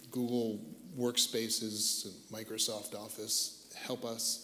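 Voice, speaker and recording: Over noticeable background noise, a man with an American accent speaks at medium pitch. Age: 60s. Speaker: tech industry veteran, panelist. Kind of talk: panel discussion.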